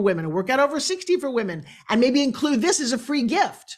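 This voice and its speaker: A woman talks in an animated tone at a very fast pace, her high voice swinging very widely in pitch. The recording is very clean, with a silent background. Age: 60s. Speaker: business coach and pitch expert. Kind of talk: podcast interview.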